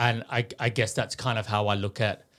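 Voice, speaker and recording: Speaking at a moderate pace with an Australian accent, a man with a fairly low pitch uses monotone, flat intonation. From Sydney, Australia (western suburbs). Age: 40s. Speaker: fashion designer. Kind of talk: interview. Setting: studio.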